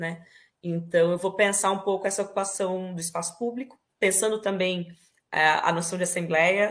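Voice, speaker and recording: A woman at a medium pitch speaks at a moderate pace with monotone, flat intonation. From Brazil, interior of São Paulo state (Ribeirão Preto). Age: 30s. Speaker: poet and actress. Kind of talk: interview.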